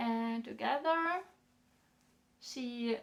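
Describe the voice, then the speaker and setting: Lively intonation runs through this woman's high-pitched voice. She speaks with a German accent. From northern Germany. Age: 20s. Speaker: knitting podcaster. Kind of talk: casual monologue podcast. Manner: halting, many fillers.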